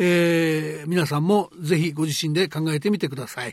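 Pitch varies in an ordinary way in what is an ordinary speaking voice. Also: man. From Japan, Hyogo Prefecture. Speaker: economic journalist and program host. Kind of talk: interview.

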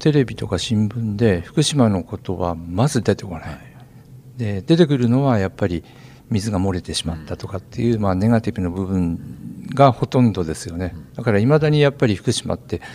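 A man with a plain, everyday voice speaks at a fairly low pitch. His intonation is lively and his pace moderate. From Kanto region. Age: 60s. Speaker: forest park director. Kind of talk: interview.

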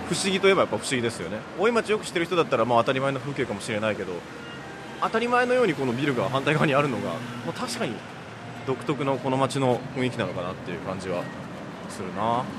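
With very wide pitch swings and a very fast pace, a man talks over noticeable background noise. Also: medium pitch for a man. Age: 30s. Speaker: travel reporter. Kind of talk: walking travel report. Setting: outdoors on location. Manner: animated.

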